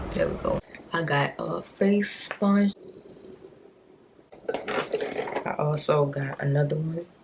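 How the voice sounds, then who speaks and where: Pausing long and often, a woman talks very slowly while noticeable background noise plays. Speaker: beauty vlogger. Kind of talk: casual chat.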